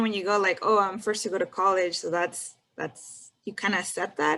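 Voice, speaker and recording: Bright and sharp in tone, a woman with a Spanish accent talks at a fairly quick pace. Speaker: engineer, panelist. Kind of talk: panel discussion. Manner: casual.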